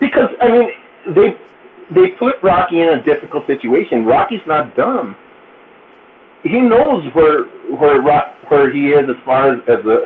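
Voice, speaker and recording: Noticeable background noise sits behind a man speaking at a fairly slow pace. His pauses are long and frequent. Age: 40s. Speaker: podcast guest. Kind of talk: casual chat.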